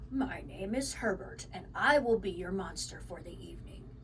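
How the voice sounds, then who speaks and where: A woman puts on a breathy character voice. Background noise is clearly audible. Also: moderate pace. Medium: read story.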